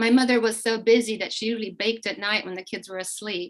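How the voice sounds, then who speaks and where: A woman speaks with a Slovak accent. Her intonation stays fairly even. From eastern Slovakia, then Canada from age nine. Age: 60s. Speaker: immigrant sharing family story. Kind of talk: interview.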